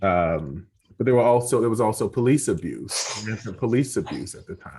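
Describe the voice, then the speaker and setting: A moderate pace over a quiet background. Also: man. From South Side of Chicago, US. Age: 40s. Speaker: professor and author. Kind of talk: interview. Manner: halting, many repetitions.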